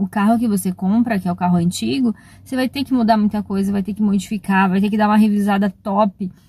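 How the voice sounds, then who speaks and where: Talking very fast with fairly even intonation, a woman's somewhat breathy voice carries a dark, mellow tone in a dry sound with no echo. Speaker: travel vlogger. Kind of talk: casual vlog chat. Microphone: phone near.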